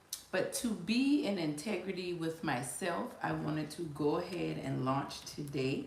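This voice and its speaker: The speaker has an American accent. Audible room echo and noticeable background noise fill the recording. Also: woman. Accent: Gullah Geechee. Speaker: life coach. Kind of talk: casual live-stream talk. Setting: live stream at computer. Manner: halting, with many fillers.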